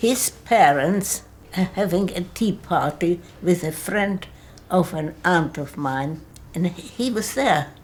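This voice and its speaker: A woman's fairly low, somewhat breathy voice at a very slow pace with ordinary pitch variation. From Czechoslovakia (Prague). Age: 90s. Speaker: care home resident, Holocaust survivor. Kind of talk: interview testimony.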